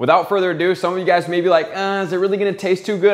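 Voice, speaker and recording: The man's voice has a high pitch. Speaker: home cook host. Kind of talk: cooking tutorial. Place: kitchen.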